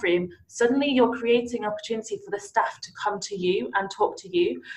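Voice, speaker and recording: An ordinary speaking voice from a woman, fairly high in pitch, at a fairly quick pace. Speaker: podcast host. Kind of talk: casual interview chat.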